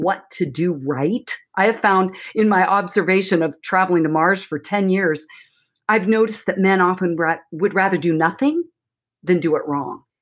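A woman with a normal speaking voice talks at a moderate pace at medium pitch with ordinary pitch variation, on a very clean recording with a silent background. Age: 60s. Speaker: counselor and author. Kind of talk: interview.

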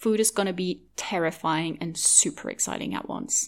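A woman with a Norwegian accent speaks with vocal fry and very wide pitch swings. The recording is very clean, with a silent background. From Norway. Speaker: podcast host, eating disorder recovery advocate. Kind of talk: solo podcast monologue.

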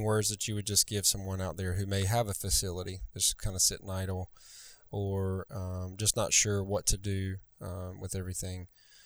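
A Southern US accent marks the speech. The background is silent and the recording very clean. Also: man. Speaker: podcast host. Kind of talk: casual interview chat.

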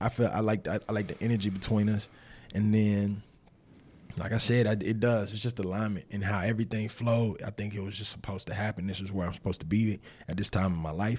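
A man with a Southern US accent speaks at a very fast pace, fairly low in pitch with monotone, flat intonation. The recording is very clean, with a silent background. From Winston-Salem, North Carolina, US South. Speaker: former pro football player, nonprofit director. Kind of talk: casual interview.

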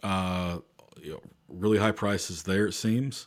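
This man's fairly low voice keeps a fairly even intonation at a fairly slow pace. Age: 30s. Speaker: podcast host. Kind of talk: casual solo monologue. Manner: many filler words and repetitions.

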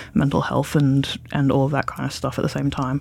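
Speaking at a moderate pace, a man with a fairly high voice talks with an Australian accent. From Australia, Bendigo (Victoria). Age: 20s. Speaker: podcast interviewee. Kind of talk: personal interview. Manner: halting.

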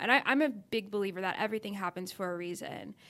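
With an American accent, a woman uses a normal speaking voice at a medium pitch and fairly even intonation, moving at a fairly quick pace in a very clean recording with a silent background. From Texas, Dallas. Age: 20s. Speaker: content creator, YouTuber. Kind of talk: casual interview chat.

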